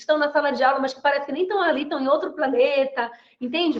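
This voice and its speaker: A woman speaks in an animated tone with a Brazilian accent. Her voice is high, and room echo can be heard. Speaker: mentor and body language lecturer. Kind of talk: online lecture. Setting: video call. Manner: fast.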